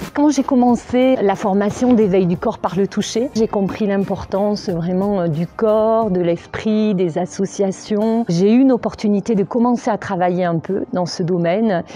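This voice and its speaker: With a southwestern French accent, a woman speaks at a fairly slow pace with hardly any pauses. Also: medium pitch for a woman, ordinary pitch variation. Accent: southwest French. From southwest France. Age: 50s. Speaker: massage practitioner and sophrologist. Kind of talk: interview testimony. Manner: hesitant, with frequent fillers.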